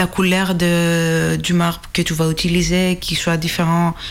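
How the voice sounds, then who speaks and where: In a Greek accent, a woman talks with a fairly low pitch at a fairly slow pace. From Greece. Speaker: archaeology PhD student. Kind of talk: explanatory interview.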